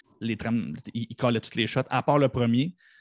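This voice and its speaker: An unremarkable speaking voice at a fairly quick pace, with ordinary pitch variation, on a very clean recording with a silent background. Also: man, dry, close sound with no echo. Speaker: podcast guest, pop culture fan. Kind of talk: casual chat.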